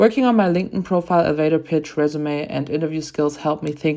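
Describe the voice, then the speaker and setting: A woman with a non-native accent talks at a very fast pace. Her voice sits very deep and low, with ordinary pitch variation. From outside the US. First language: not English. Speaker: graduate student and volleyball player. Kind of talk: class presentation. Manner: prepared, read-aloud delivery.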